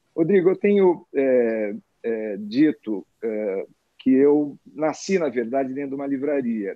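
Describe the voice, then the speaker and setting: At a very slow pace, a man talks with lively intonation and a fairly high pitch. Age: 60s. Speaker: publisher and bookseller. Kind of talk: casual interview chat. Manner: hesitant, many filler words.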